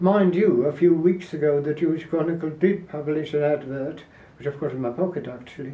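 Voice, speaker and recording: Noticeable background noise runs under a man whose voice sits fairly high. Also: fairly even intonation. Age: 90s. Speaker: Holocaust survivor and activist. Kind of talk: interview. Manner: halting.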